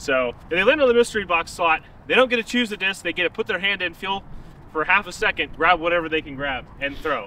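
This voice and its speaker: A man's fairly quick speech with very wide pitch swings, a dry sound with no echo, and light background noise. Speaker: disc golf video host. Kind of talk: casual explanation of game rules. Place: open country.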